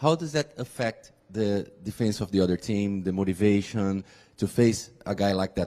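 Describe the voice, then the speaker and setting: A man with a Portuguese accent speaks in a dark, mellow tone with ordinary pitch variation. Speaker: journalist. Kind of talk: press conference question.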